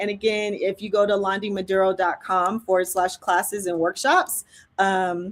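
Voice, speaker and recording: Vocal fry runs through a woman's medium-pitched voice. She speaks at a fairly slow pace. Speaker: filmmaking educator and live event host. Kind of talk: sales pitch. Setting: livestream.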